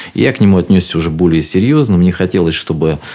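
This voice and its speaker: The speaker is a man whose pitch is very deep and low. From Rostov region, southern Russia. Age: 40s. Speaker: radio host and singer. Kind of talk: radio show monologue. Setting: radio studio.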